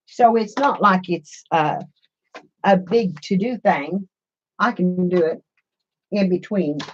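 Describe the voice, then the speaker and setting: A woman with an American accent speaks at a very slow pace, medium in pitch and somewhat breathy. Her pitch varies in an ordinary way, broken by long, frequent pauses. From Missouri. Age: 60s. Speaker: craft YouTuber. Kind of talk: casual live-stream chat. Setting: live stream. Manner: chatty, warm.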